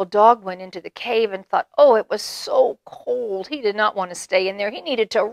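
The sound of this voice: Lively intonation in an unforced reading voice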